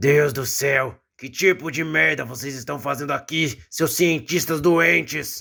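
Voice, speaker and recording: In a put-on character voice that is raspy, someone speaks at a fairly slow pace with ordinary pitch variation. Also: man, fairly high pitch for a man. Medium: audio drama. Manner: gruff, blunt.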